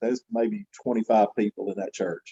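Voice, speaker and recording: In a quiet background, a man with a Southern US accent speaks in a dark, mellow tone. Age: 60s. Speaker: gospel quartet singer. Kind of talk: interview testimony.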